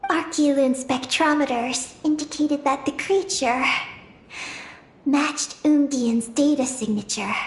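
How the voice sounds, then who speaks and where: The voice sounds female and sits high in pitch for a woman. It is a put-on character voice. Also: moderate pace. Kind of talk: solemn lore narration. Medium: video game. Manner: measured, calm.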